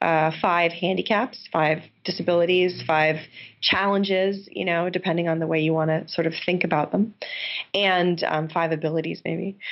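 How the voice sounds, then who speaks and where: At a moderate pace, a woman with a New York State accent speaks in a fairly low pitch with fairly even intonation. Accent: American (New York State). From upstate New York. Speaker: game designer and professor. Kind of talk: interview.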